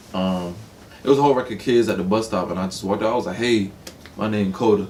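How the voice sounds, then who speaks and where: A man with a fairly low voice and a slight Atlanta accent, talking very fast with fairly even intonation. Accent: slight Atlanta accent on certain words. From Atlanta, US South. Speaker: rapper. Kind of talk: casual interview.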